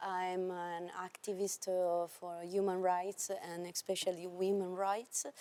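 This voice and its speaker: A woman speaks very slowly in a monotone, flat intonation with hardly any pauses. Her tone is dark and mellow at a medium pitch. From Sardinia, Italy. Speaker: doctor and human rights activist. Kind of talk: panel introduction. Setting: European Parliament event. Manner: halting.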